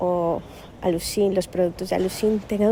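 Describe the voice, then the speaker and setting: A woman's dark, mellow voice with a strong Asturian accent, fairly slow and fairly even in intonation. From Cali, Colombia. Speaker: sales department employee. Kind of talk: recorded question message.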